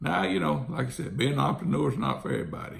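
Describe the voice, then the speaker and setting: A man with an Alabama accent talks at a fairly quick pace. Noticeable background noise is present. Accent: Southern US (Alabama). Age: 60s. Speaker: real estate investor. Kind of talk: casual monologue.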